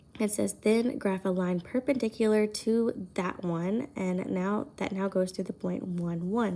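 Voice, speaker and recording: Quiet and dark, mellow in tone, a woman's medium-pitched voice moves at a moderate pace with ordinary pitch variation. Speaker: high school math teacher. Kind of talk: recorded lesson for students.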